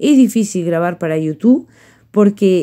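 A woman at a fairly quick pace, dark and mellow in tone, over a quiet background. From Uruguay. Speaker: painting teacher. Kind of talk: tutorial. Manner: warm, affectionate. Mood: warm, affectionate. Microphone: phone near.

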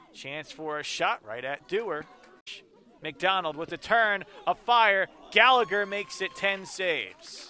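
A man with a high pitch uses a raised, projected voice at a fairly slow pace. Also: ordinary pitch variation. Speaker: soccer play-by-play commentator. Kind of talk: live sports commentary.

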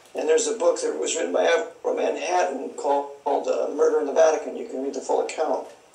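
A man with an American accent talks very fast with hardly any pauses, amid audible room echo and noticeable background noise. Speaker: author and conspiracy researcher. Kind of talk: interview.

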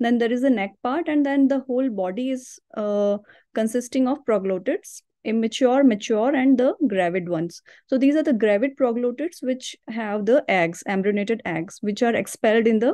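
Her tone is dark and mellow as a woman speaks at a moderate pace. Pitch varies in an ordinary way, over a quiet background. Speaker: doctor giving online lecture. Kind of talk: lecture. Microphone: webcam.

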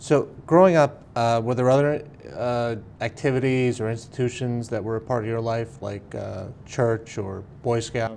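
At a moderate pace with ordinary pitch variation, a plain, everyday voice comes through over light background noise. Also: man, medium pitch for a man. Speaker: oral history interviewer. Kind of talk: interview questions. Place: meeting room.

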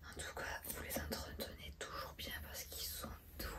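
Loud background noise surrounds the recording. A woman is soft-spoken through it. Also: moderate pace. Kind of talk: casual chat with a client while working. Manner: soft, hushed ASMR speaking. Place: shop. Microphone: phone near.

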